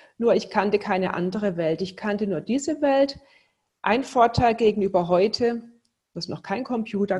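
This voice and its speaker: Somewhat breathy and medium-pitched, a woman speaks at a moderate pace with ordinary pitch variation. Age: 50s. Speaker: entrepreneur. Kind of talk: interview.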